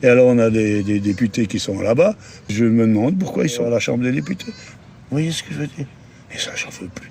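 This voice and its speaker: A man talks at a fairly quick pace at medium pitch, with lively intonation and big swings in loudness. Background noise is noticeable. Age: 70s. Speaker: passer-by interviewed in the street. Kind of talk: casual street interview. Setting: outdoors in a city square. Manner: animated, opinionated.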